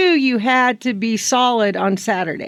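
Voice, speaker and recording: A woman talks in a high pitch with ordinary pitch variation. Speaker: ranch rodeo association radio guest co-host. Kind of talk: casual radio chat. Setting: radio studio. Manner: mumbling.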